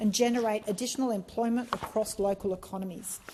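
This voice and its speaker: Her voice is fairly high, somewhat breathy and dark and mellow in tone. The woman moves at a moderate pace with ordinary pitch variation. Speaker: member of parliament. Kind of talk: parliamentary speech. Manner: formal, measured.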